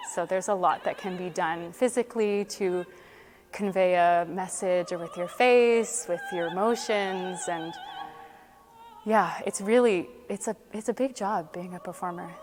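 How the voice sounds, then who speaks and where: Music plays in the background as a woman with a Canadian accent speaks at a fairly slow pace, her medium pitch showing ordinary pitch variation. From Canada, Ottawa. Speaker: opera singer. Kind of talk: interview.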